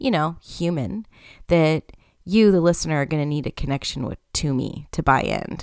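With an ordinary speaking voice, a woman of fairly low pitch speaks with ordinary pitch variation in a dry, close sound with no echo. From Canada. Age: 30s. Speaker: podcast host, human design coach and teacher. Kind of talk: solo podcast monologue. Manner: casual, conversational with laughter.

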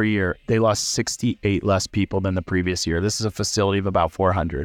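A man with an American accent, dry and close with no echo, music playing in the background. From US Midwest, central Illinois. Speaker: startup founder, former HR leader. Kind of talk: casual interview over beers. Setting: bar.

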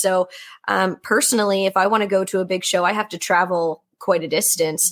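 In a very clean recording with a silent background, a woman talks at a moderate pace and medium pitch. She has an unremarkable speaking voice with ordinary pitch variation. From Nova Scotia, Canada. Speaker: horse podcast host, panelist. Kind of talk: casual roundtable discussion.

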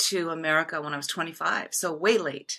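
A woman speaks at a fairly slow pace in a bright, sharp tone. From Japan. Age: 60s. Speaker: actress. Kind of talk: interview. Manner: halting, many fillers and repetitions.

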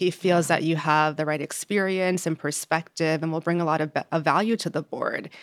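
In a plain, everyday voice, a woman with an American accent talks at a fairly quick pace with hardly any pauses, her fairly low pitch and fairly even intonation captured in a very clean recording with a silent background and a dry, close sound with no echo. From New York. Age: 30s. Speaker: diversity and inclusion executive. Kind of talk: interview.

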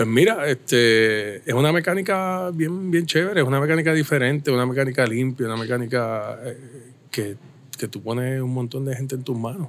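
With an unremarkable speaking voice, a man talks at a medium pitch with lively intonation. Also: moderate pace. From Puerto Rico, Caguas. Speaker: brewery owner. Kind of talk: casual interview.

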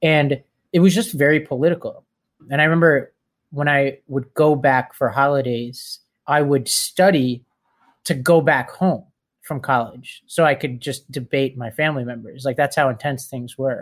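An American accent marks a man's unremarkable speaking voice, fairly high in pitch with ordinary pitch variation, at a moderate pace on a very clean recording with a silent background. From New York City (Staten Island). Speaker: political organizer and nonprofit founder. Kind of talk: casual interview.

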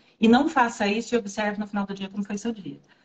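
A woman is speaking. Her voice sounds somewhat breathy. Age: 40s. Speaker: Ayurveda therapist and pharmacist. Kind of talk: casual interview on a livestream. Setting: live video stream.

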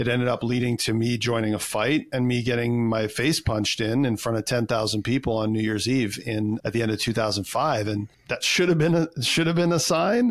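With a Canadian accent, a man talks at a fairly quick pace with hardly any pauses, in an ordinary speaking voice. His pitch is medium, with ordinary pitch variation. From Canada. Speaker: personal development coach. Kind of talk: casual interview chat.

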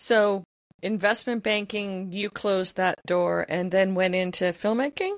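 This woman has an ordinary speaking voice at a medium pitch and a fairly slow pace. The sound is dry and close with no echo. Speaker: podcast host. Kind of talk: interview. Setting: remote call.

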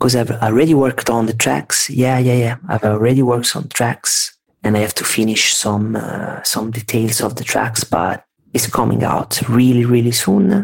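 A man with an Italian accent, medium pitch, ordinary pitch variation and a moderate pace. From Italy, Tuscany. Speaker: vaporwave music producer. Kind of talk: casual interview chat. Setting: remote call, at home late at night.

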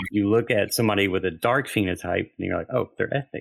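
In a Southern US accent, a man speaks fairly quickly at a fairly low pitch with ordinary pitch variation over a quiet background. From US South. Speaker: theologian and pastor. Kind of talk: interview.

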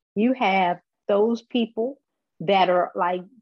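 An unremarkable speaking voice from a woman, medium pitch and lively intonation. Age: 40s. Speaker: patient advocate living with MS. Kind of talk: interview.

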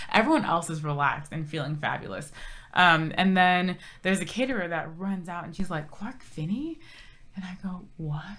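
A woman at a fairly low pitch and moderate pace, with ordinary pitch variation, big swings in loudness and audible room echo. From Southern California, Orange County. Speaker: TV lifestyle co-host and reporter. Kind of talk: casual interview chat. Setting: studio, on camera.

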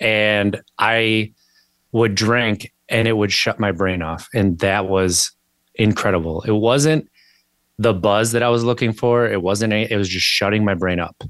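A man with an American accent and an ordinary speaking voice talks at a fairly low pitch and fairly slow pace, his intonation fairly even. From Wisconsin, US Upper Midwest. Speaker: podcaster and sobriety coach. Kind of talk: interview conversation. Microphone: good-sounding mic.

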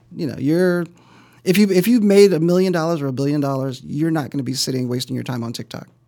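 The voice has a dark, mellow tone and lively intonation. The recording is very clean, with a silent background. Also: man, fairly high pitch for a man. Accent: American. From US Midwest, South Side of Chicago. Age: middle-aged. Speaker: real estate investor. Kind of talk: interview. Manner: halting, repeats words.

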